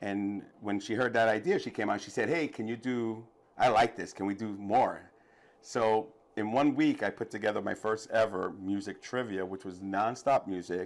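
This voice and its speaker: A man with a New York accent speaks at a moderate pace in a fairly low voice. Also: ordinary pitch variation. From New York City, the Bronx. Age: 50s. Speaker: DJ and trivia host. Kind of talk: interview. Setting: studio. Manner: animated.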